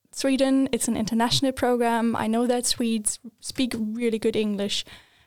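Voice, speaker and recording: A woman speaks with a German accent. Her pitch is fairly high and her intonation monotone and flat. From Germany. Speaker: recent university graduate. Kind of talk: casual interview.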